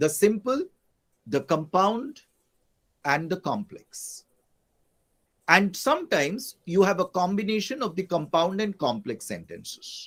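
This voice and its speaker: On a very clean recording with a silent background, a high-pitched man speaks at a fairly slow pace with lively intonation and long, frequent pauses. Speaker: English professor teaching online class. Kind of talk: lecture.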